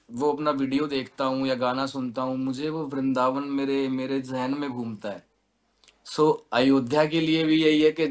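A man talks at a fairly slow pace. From western Uttar Pradesh (Baghpat); Uttar Pradesh. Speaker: singer and music producer; interviewee. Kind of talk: interview. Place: studio. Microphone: video call.

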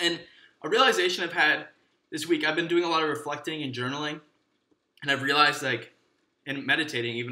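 Talking at a very fast pace, a man with an American accent has a fairly high pitch and a bright, sharp tone, with audible room echo. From Michigan, USA. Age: 20s. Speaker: actor. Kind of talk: casual podcast monologue. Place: home room.

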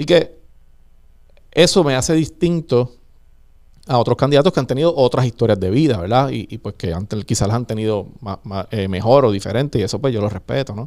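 A man speaks fairly quickly with lively intonation, the background quiet. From Puerto Rico, Vega Alta. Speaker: gubernatorial candidate, politician. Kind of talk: interview. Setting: studio. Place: studio. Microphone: studio mic.

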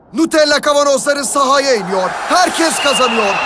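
The voice is raised and projected, moving at a fairly slow pace. Its pitch varies in an ordinary way. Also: man. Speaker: sports announcer. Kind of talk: TV commercial read.

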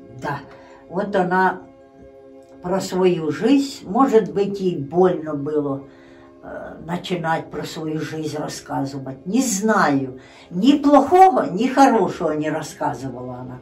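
A woman with a fairly low voice speaks at a very slow pace, leaving long, frequent pauses. Her pitch swings very widely, and faint music plays in the background. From Ukraine, Poltava region. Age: old. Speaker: grandmother telling her life story. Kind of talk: interview answer. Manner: casual, conversational. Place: home room. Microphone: phone near.

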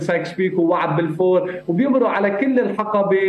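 The room echo is audible, with light background noise. A man speaks at a moderate pace, high in pitch with ordinary pitch variation. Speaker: actor. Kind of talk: interview answer. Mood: earnest, serious. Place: home room. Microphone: earbuds.

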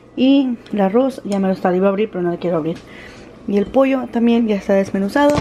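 Over noticeable background noise, a woman with a medium pitch talks at a fairly quick pace, her pitch varying in an ordinary way. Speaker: vlogger mom. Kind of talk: casual vlog. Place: kitchen. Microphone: phone near.

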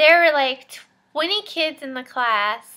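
Bright, sharp tone from a woman. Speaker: mom vlogger. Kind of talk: casual vlog chat. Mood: chatty, a bit exasperated. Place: home room. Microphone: webcam.

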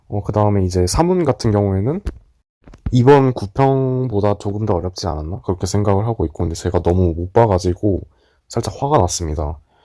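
Over a silent background in a very clean recording, a man with a fairly low pitch and a dark, mellow tone talks at a fairly quick pace with lively intonation. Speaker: exam-retake student vlogger. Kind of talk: casual vlog talk to camera.

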